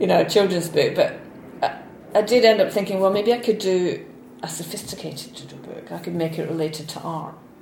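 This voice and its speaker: Over noticeable background noise, a woman at a medium pitch talks at a fairly quick pace, with ordinary pitch variation and big swings in loudness. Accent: Scottish. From Scotland, Falkirk. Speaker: illustrator and author. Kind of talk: interview. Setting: studio.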